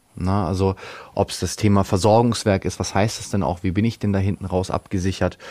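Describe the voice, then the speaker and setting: Fairly low in pitch and fairly quick, a man speaks with monotone, flat intonation. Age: 20s. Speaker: financial consultant. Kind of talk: interview. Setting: studio. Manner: hesitant, many fillers.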